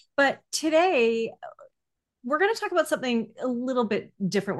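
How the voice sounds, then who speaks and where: Over a quiet background, a woman talks at a fairly quick pace with very wide pitch swings. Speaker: podcast host. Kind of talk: casual interview chat.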